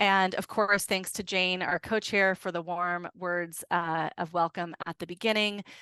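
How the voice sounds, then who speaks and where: A bright, sharp tone in monotone, flat intonation, with hardly any pauses, a dry, close sound with no echo, and a quiet background. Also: woman, medium pitch for a woman. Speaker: executive director of a food systems alliance. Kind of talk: webinar closing remarks. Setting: video webinar. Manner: fast.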